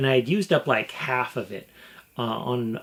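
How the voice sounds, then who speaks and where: Noticeable background noise around a man at a moderate pace, in an American accent. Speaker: gaming YouTuber. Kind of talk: casual vlog talk to camera. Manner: animated.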